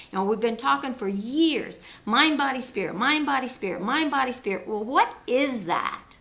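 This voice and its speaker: Lively intonation at a moderate pace with hardly any pauses, over noticeable background noise. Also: woman, high pitch for a woman. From US Midwest. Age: 70s. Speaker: talk show host. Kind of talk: interview.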